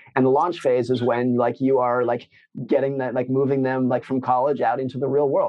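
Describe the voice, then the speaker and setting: A man with an American accent and a medium pitch. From Lake Tahoe, California, US. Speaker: author. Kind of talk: interview conversation.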